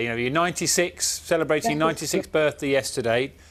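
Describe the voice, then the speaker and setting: On a very clean recording with a silent background, a man with an unremarkable speaking voice and fairly high pitch uses lively intonation. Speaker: TV presenter. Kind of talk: breakfast TV presenting.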